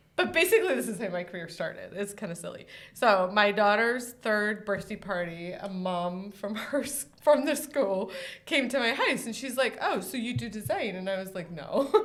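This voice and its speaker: With lively intonation and medium pitch, a woman's voice carries audible room echo. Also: moderate pace. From Scotland. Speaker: interior designer. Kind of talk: casual chat.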